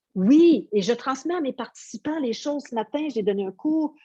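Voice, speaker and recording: A woman's somewhat breathy voice, dark and mellow in tone, moves through very wide pitch swings at a moderate pace, the sound dry and close with no echo. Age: 60s. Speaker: yoga teacher. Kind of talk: interview.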